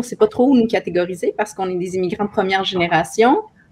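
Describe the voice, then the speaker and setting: This woman has an ordinary speaking voice, with medium pitch and ordinary pitch variation. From Quebec (Montreal), from Chile at age seven. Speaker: author. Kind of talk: panel discussion.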